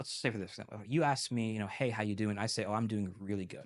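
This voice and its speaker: This is a man with a fairly low pitch. His pitch varies in an ordinary way. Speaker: language learner, multilingual podcast guest. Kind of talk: interview conversation. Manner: fast; animated.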